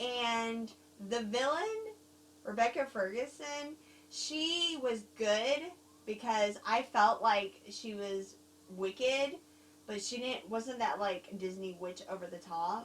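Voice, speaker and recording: Noticeable background noise accompanies a woman with a Southern US accent. She talks very slowly with lively intonation. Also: fairly high pitch for a woman. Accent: Southern accent, gained. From overseas, Germany and Korea. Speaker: film reviewer. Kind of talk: casual chat. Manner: halting.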